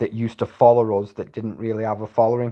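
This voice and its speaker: A man's dark, mellow tone at medium pitch, in a monotone, flat intonation. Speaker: livestreamer and former landscaper. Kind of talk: casual livestream chat.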